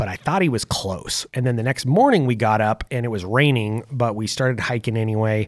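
Here is a man with an ordinary speaking voice at a medium pitch. The sound is dry and close, with no echo. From US West, south central Oregon (Lake County). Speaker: hunter and sports coach. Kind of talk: casual interview storytelling.

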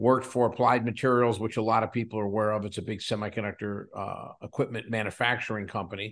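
A man with an American accent talks at a very fast pace with hardly any pauses. His medium-pitched voice is monotone and flat, over a quiet background. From Western Pennsylvania, coal town south of Pittsburgh. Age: 60s. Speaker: company CEO. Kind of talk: interview conversation.

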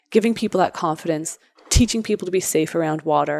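A normal speaking voice from a woman with a Canadian accent, fairly low in pitch with ordinary pitch variation, on a very clean recording with a silent background. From Canada. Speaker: entrepreneur. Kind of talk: interview.

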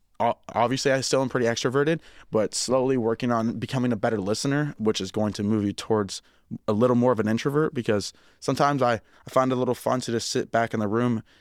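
The speaker has an American accent and talks at a very fast pace with fairly even intonation. The sound is dry and close without echo, on a very clean recording with a silent background. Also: man. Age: 20s. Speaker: personal trainer. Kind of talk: casual chat. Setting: studio. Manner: sometimes loud.

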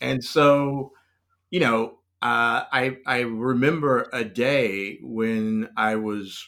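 In a very clean recording with a silent background, the speaker has an American accent and fairly even intonation. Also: man. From US South, North Carolina (Raleigh). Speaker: cultural strategist. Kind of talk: casual interview.

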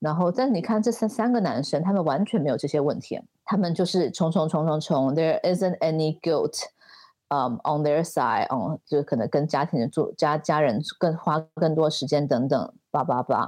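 A woman with a very deep, low pitch and lively intonation speaks at a moderate pace, keeping a very even loudness over a quiet background. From Taiwan. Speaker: fashion entrepreneur and designer. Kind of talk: interview.

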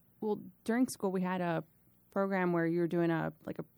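A woman speaks in a normal speaking voice at a fairly low pitch, with an American accent. Her pace is fairly quick. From Miami, Florida. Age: young. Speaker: firefighter paramedic, former teacher. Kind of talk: interview, casual storytelling.

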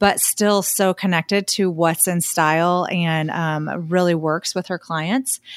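In a very clean recording with a silent background and a dry, close sound with no echo, a woman uses a normal speaking voice at a medium pitch with fairly even intonation. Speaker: podcast co-host and photographer. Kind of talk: casual interview chat.

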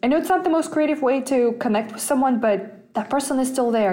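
A woman speaks with a Russian accent. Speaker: personal finance podcast host. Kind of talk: casual solo podcast talk. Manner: hesitant, many fillers.

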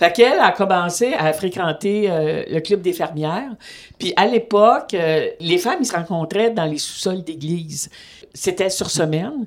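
At a fairly slow pace, a woman speaks at a medium pitch with ordinary pitch variation in a plain, everyday voice. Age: 60s. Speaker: retired feminist activist, host's mother. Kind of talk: interview testimony.

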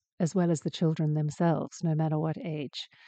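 This woman has a fairly low pitch and a British accent. Her intonation stays fairly even. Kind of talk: casual solo podcast monologue.

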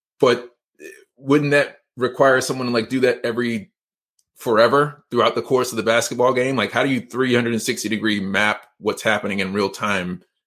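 A man with an ordinary speaking voice talks at a fairly quick pace. His medium pitch follows fairly even intonation. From Georgia, US (Atlanta area). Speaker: podcast host. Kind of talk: interview / live-streamed podcast chat. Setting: livestream / online call. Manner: fast.

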